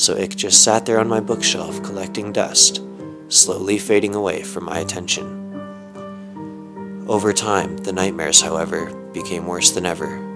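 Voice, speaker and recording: Music plays in the background as a man with a fairly low voice speaks at a moderate pace. His pitch varies in an ordinary way, and he leaves long, frequent pauses. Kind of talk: creepypasta horror story reading.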